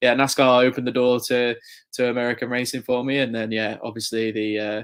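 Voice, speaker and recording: Against a quiet background, a man rattles along at a very fast pace in a monotone, flat intonation. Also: medium pitch for a man. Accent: English. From England, near Chester. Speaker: motorsport journalist. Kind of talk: podcast interview.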